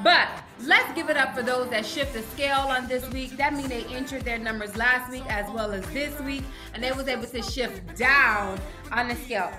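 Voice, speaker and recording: A woman's high voice at a fairly quick pace, with music in the background. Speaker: online fitness group host. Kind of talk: energetic group meeting talk. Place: home room. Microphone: webcam.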